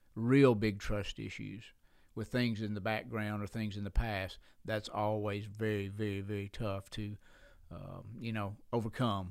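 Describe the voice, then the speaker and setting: This man talks fairly slowly in an Alabama accent, with a fairly low pitch and monotone, flat intonation. The recording is very clean, with a silent background. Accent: Southern US (Alabama). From US South, Alabama (Sheffield). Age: 60s. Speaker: pastor. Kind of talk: casual interview chat.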